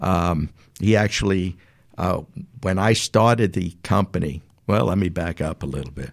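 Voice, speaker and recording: A man with a strong New York accent speaks at a moderate pace in a very deep, low pitch, showing vocal fry and ordinary pitch variation. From New York City. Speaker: business owner. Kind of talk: casual interview.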